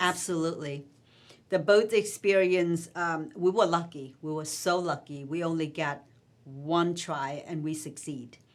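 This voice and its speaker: A woman with a Vietnamese accent speaks slowly-ish and at a fairly low pitch, her intonation fairly even. The recording is very clean, with a silent background. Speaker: author. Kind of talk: interview answer.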